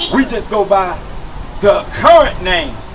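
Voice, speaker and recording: Noticeable background noise sits behind an animated voice with lively intonation at a fairly slow pace. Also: man. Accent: American. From United States. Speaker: street preacher. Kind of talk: preaching.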